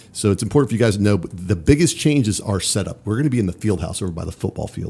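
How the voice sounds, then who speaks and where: Very fast and lively in intonation, a man talks in a fairly low, dark and mellow voice that is somewhat breathy. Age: 40s. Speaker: high school baseball coach. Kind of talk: casual podcast conversation.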